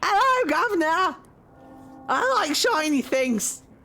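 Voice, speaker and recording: A woman's put-on character voice at an extremely high pitch, with very wide pitch swings and a fairly slow pace over faint music in the background. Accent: Cockney. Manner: cheeky, gleeful.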